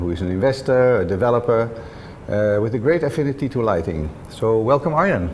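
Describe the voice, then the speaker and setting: Over noticeable background noise, a medium-pitched man talks with lively intonation at a moderate pace. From Netherlands. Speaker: interview host, lighting designer. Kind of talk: interview. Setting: co-working office.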